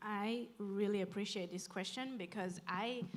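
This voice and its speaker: A woman speaks with a non-native accent. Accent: noticeable foreign. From outside Canada. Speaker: urban planner, panelist. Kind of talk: panel discussion.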